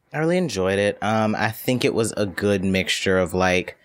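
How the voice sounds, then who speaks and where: A normal speaking voice at a moderate pace. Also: man. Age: 20s. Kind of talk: casual chat.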